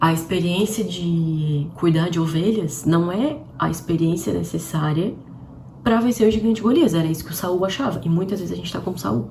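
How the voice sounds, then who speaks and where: The voice moves at a moderate pace with lively intonation. Audible room echo and noticeable background noise come through. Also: woman, fairly low pitch for a woman. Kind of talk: livestream devotional talk. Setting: live stream.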